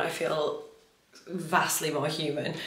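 A woman with a British accent speaks at a fairly low pitch. Noticeable background noise runs underneath. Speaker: equestrian vlogger. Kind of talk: casual vlog.

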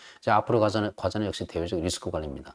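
The sound is dry and close with no echo as a man speaks in an unremarkable speaking voice, fairly low in pitch with ordinary pitch variation. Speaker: think tank director giving a lecture. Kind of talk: lecture. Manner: frequent filler sounds (아, 어).

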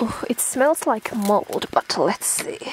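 The speech moves at a very slow pace with lively intonation. The sound is dry with no echo, and background noise is noticeable. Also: woman. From Finland. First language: Finnish. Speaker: vlogger. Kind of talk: vlog. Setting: outdoors. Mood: relaxed, a bit self-mocking.

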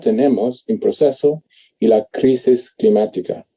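A man's fairly high-pitched voice with a dark, mellow tone and an English accent, against a quiet background. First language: English (speaking Spanish). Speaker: botanist; panelist. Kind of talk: panel discussion. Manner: halting. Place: home room. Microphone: video call.

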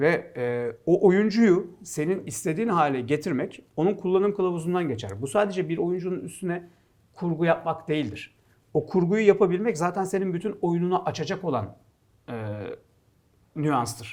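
Lively intonation carries speech delivered at a moderate pace against a quiet background. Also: man, high pitch for a man. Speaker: football pundit. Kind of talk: casual sports talk show.

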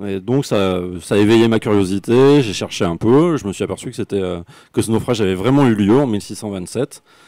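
In a very clean recording with a silent background, a man speaks at a moderate pace with a dark, mellow tone, a fairly low pitch and ordinary pitch variation. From France, Médoc (Gironde). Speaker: author and university lecturer. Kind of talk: author talk at book fair.

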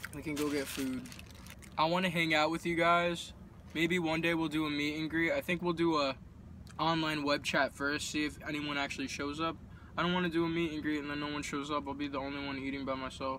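Over light background noise, a man talks at a fairly quick pace with monotone, flat intonation and a dry sound with no echo. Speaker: vlogger. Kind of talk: casual vlog chat, eating review. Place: car. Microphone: phone near.

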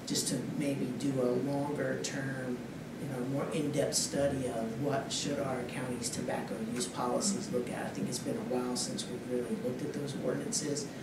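Hardly pausing at all, a man talks with ordinary pitch variation over loud background noise. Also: moderate pace. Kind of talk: formal presentation to board. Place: hall. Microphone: podium.

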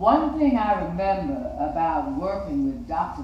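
In a room with audible echo and light background noise, a woman talks at a fairly slow pace. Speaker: reader of a personal recollection. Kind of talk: read-aloud recollection. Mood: earnest, reflective. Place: studio.

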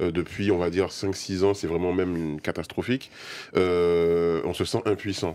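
Dark and mellow in tone, a man's very deep, low voice moves at a fairly slow pace with fairly even intonation. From Guadeloupe. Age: 30s. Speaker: video game creator. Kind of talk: debate. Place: studio.

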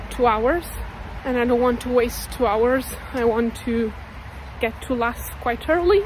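Against light background noise, a woman with a high voice speaks at a fairly slow pace, her pitch varying in an ordinary way and the sound dry with no echo. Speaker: travel vlogger. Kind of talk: casual vlog chat. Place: street. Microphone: phone near.

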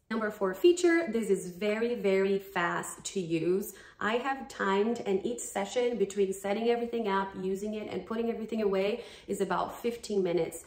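In a room with audible echo, a woman with a Brazilian accent speaks at a moderate pace with ordinary pitch variation. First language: Portuguese. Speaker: dance fitness YouTuber. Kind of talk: sponsored product review. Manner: animated. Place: home room. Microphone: phone near.

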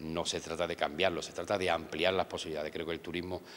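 A man speaks at a fairly quick pace in a very deep, low pitch, his intonation fairly even. Light background noise is present. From Andalusia, Spain (Ayamonte, Huelva); Andalusia. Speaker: local politician, deputy mayor for tourism. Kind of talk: interview. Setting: outdoors in town hall courtyard. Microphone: handheld.

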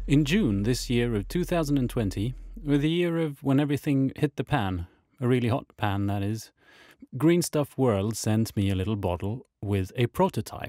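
This man's voice has a dark, mellow tone, medium pitch and lively intonation at a moderate pace. The sound is dry and close with no echo, on a very clean recording with a silent background. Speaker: miniature painter and diorama builder. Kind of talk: hobby tutorial narration.

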